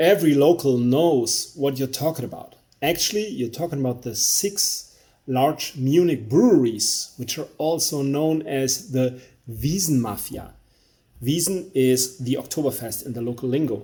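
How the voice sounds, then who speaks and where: A man with a German accent speaks in a fairly high, somewhat breathy, dark and mellow voice at a moderate pace with ordinary pitch variation. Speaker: beer reviewer. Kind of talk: product review monologue. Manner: halting.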